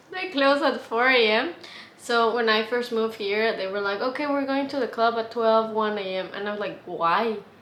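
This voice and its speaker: A woman with a Mexican accent speaks at a moderate pace, her pitch fairly high with ordinary variation. Room echo is audible, and background noise is noticeable. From Mexico. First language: Spanish. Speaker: vlogger. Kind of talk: casual vlog. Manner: hesitant, many fillers.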